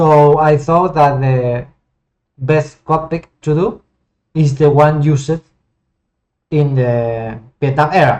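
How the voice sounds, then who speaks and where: A man with a Spanish accent talks at a very slow pace, leaving long, frequent pauses. His fairly high voice keeps very even loudness and fairly even intonation. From Argentina. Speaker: flight sim hobbyist and 3D modeler. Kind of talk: casual gameplay commentary. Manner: halting, with many repetitions and fillers.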